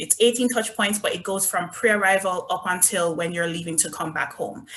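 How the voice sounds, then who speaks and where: A woman talks with a Jamaican accent at medium pitch. Noticeable background noise can be heard behind her. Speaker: resort brand representative. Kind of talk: virtual presentation.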